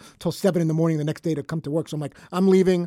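A man speaks in a high voice with a dark, mellow tone. The sound is dry and close, with no echo, and his intonation stays fairly even. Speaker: radio show booker. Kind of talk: casual chat. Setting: studio. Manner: fast.

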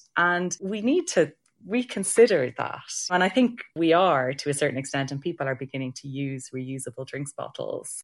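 Talking with an Irish accent, a woman uses a very deep, low pitch with very wide swings in pitch and big swings in loudness. The background is quiet. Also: moderate pace. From Ireland. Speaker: heritage science researcher. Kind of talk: panel discussion.

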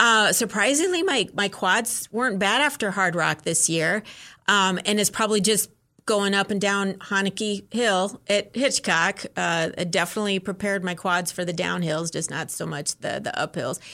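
A woman speaks at a moderate pace in a medium pitch, her tone bright and sharp, with ordinary pitch variation, on a very clean recording with a silent background. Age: 50s. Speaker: ultramarathon runner. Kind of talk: casual interview.

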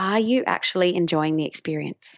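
A woman talks with an Australian accent. Her pitch is fairly low and her pace fairly quick. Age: 30s. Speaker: mindfulness teacher. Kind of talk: interview.

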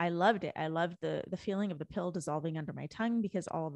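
A woman with a Canadian accent talks at a very fast pace. Her voice is fairly low, with vocal fry and ordinary pitch variation. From Canada, Indian immigrant family. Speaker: author and spiritual coach. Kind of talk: personal testimony in interview.

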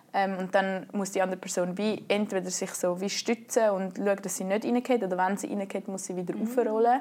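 In a Swiss accent, a woman with a dark, mellow tone and medium pitch talks at a fairly quick pace with fairly even intonation and hardly any pauses. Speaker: canoe polo player. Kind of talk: interview.

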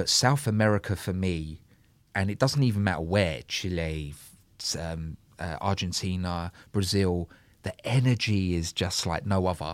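A man's very deep, low voice sounds out over a very clean recording with a silent background. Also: ordinary pitch variation, fairly slow pace. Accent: London. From London, Soho. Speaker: DJ and music producer. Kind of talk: casual chat.

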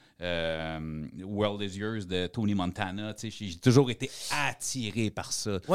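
Speaking with a Quebec accent, a man has a fairly low pitch. The recording is very clean, with a silent background. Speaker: former criminal, podcaster. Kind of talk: casual chat.

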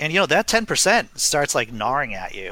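A man talks over noticeable background noise. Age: 40s. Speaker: comedian. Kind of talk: casual chat.

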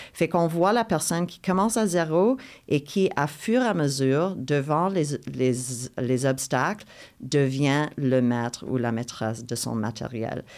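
Recorded very cleanly against a silent background, a woman with an English accent speaks in a very deep, low voice. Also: lively intonation. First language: English (speaking French). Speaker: playwright. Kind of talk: interview conversation. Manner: halting with repetitions.

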